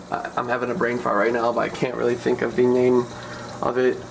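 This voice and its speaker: The man's voice sits at a medium pitch and a moderate pace. Noticeable background noise can be heard. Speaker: aquarium hobbyist vlogger. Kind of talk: tutorial. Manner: halting; casual.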